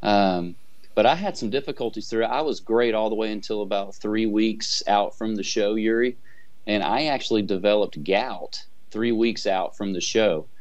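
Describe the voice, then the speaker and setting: With an ordinary speaking voice, a man talks at a moderate pace in a fairly low pitch with ordinary pitch variation. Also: quiet background. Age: 40s. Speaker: amateur bodybuilder. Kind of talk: interview. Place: office. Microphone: video call.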